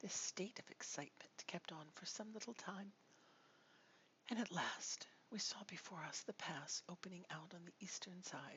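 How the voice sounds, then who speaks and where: Someone whispers in a soothing tone. The pace is moderate. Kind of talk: soft-spoken ASMR audiobook reading of a gothic novel. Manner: soft, soothing, whispered.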